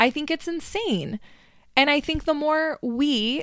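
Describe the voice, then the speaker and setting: This woman speaks with an American accent at a fairly slow pace. Her tone is animated, with ordinary pitch variation. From US Northeast (New Jersey, Connecticut), then Florida from middle school. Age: 30s. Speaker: podcast host, mother and nurse assistant. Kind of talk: personal monologue, casual storytelling. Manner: animated, laughs often.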